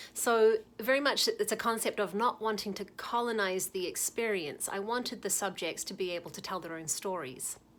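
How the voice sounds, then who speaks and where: A woman with a New Zealand accent, medium in pitch, at a moderate pace with hardly any pauses, big swings in loudness and ordinary pitch variation. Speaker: documentary filmmaker. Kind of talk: talking-head explainer.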